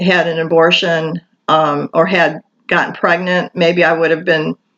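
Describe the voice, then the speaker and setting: A woman with an American accent speaks at a fairly slow pace, her fairly low voice monotone and flat. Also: very even loudness. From Michigan, US. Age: 60s. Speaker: vlogger. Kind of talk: personal testimony monologue. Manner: halting, many fillers.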